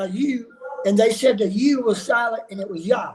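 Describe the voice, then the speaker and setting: A man speaks with a high pitch and ordinary pitch variation. Noticeable background noise runs behind him. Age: 60s. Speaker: religious viewer brought on a livestream. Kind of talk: testimony.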